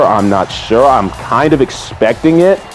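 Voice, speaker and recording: A man talks. Background music plays behind him. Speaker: wrestling fan YouTuber. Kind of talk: casual talk to camera.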